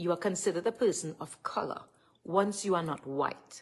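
With a Trinidadian accent, a woman talks at a moderate pace with ordinary pitch variation. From Trinidad and Tobago. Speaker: live streamer. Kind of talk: live stream rant. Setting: live stream at home. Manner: animated. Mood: upset, indignant. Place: home room. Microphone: phone near.

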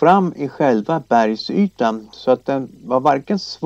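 Read aloud in a natural voice, the delivery carries lively intonation.

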